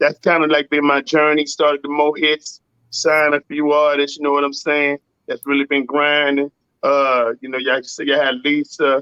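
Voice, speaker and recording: A man with a Louisiana accent talks at a moderate pace with a fairly high pitch. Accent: US Southern, Louisiana. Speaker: singer-songwriter and producer. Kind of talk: casual interview. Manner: animated.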